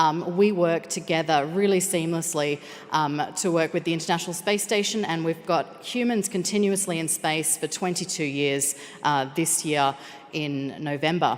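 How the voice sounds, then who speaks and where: Noticeable background noise sits behind a woman with an Australian accent who speaks at a moderate pace and fairly low pitch with ordinary pitch variation. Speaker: space operations engineer. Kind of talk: conference presentation.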